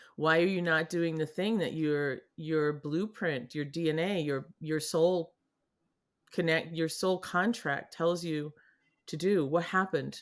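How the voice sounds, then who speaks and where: A woman with an American accent, a fairly low pitch and a fairly slow pace. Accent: Boston, slight, r-dropping when comfortable. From New England. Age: 60s. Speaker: artist and healer. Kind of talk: casual interview conversation. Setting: video call podcast with painting behind her. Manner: animated, upbeat.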